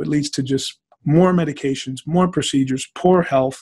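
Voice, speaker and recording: A fairly quick, somewhat breathy man's voice with a fairly high pitch, a dark, mellow tone and fairly even intonation. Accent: American. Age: 50s. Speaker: former football player, diabetes patient. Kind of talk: interview testimony.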